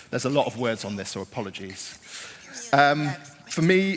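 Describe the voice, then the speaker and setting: Noticeable background noise is present. The speaker is a man. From England, not London. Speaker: design leader. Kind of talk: conference talk. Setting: stage with audience. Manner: chatty.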